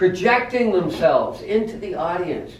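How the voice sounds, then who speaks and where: A loud, high-pitched man's voice with lively intonation, audible room echo and noticeable background noise. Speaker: Toastmasters speaker, former boat captain turned teacher. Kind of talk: prepared speech. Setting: club meeting in a coffee house. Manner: loud, projecting.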